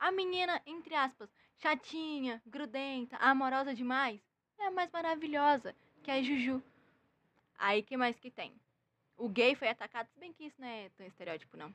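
With lively intonation and big swings in loudness, a woman speaks at a high pitch and a moderate pace, taking long, frequent pauses in a dry, close sound with no echo. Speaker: comedy news podcast host. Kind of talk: casual comedic news monologue. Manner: animated.

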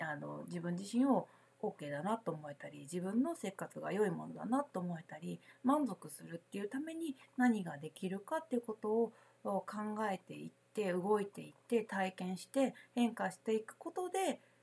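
A woman at a moderate pace and medium pitch, with very wide pitch swings and big swings in loudness. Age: 40s. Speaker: spiritual consultant and podcast host. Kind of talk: solo podcast talk. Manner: casual, many filler words.

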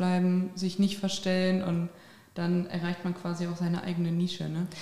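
A woman speaks at a moderate speed, with noticeable noise behind her. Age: 20s. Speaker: podcast host. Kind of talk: casual interview.

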